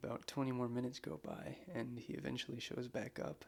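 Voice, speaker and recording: Here is a man talking. His pace is moderate. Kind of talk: soft-spoken ASMR scary storytelling. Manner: soft-spoken, casual, slightly awkward.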